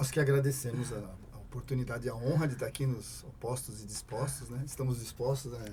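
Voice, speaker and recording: At a fairly quick pace, a man speaks at a medium pitch with fairly even intonation, with audible room echo and noticeable background noise. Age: 60s. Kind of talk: casual chat.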